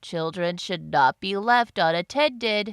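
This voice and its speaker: A female-sounding, put-on character voice speaks at a fairly slow pace and medium pitch. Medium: read story. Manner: formal, no contractions.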